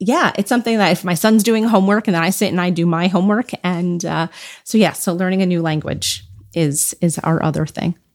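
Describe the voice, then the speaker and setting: A woman talks in a normal speaking voice at a medium pitch and a fairly quick pace, her pitch varying in an ordinary way, on a very clean recording with a silent background. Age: 40s. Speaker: podcast host and parenting expert. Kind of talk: casual interview.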